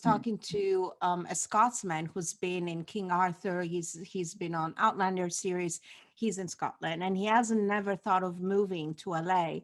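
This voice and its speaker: A woman's normal speaking voice at medium pitch, fairly even in intonation, at a fairly slow pace with hardly any pauses. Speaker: podcast host. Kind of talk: interview questions.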